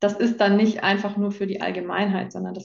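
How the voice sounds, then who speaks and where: Vocal fry marks this woman's medium-pitched voice. She goes at a fairly quick pace with monotone, flat intonation. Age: 20s. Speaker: coaching client sharing her experience. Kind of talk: testimonial interview.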